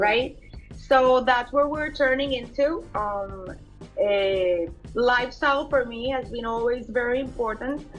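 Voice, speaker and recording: With music in the background, a woman with a Colombian accent speaks at a fairly slow pace in a high pitch with ordinary pitch variation. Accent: soft Colombian Spanish. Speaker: fashion designer. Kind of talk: interview answer.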